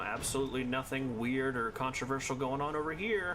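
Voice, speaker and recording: Speaking in an American accent, a man uses ordinary pitch variation. Noticeable background noise and audible room echo fill the recording. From US East Coast. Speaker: video game streamer. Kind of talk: live gameplay commentary. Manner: casual, conversational.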